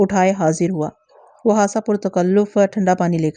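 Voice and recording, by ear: The intonation stays fairly even. A natural voice reads aloud.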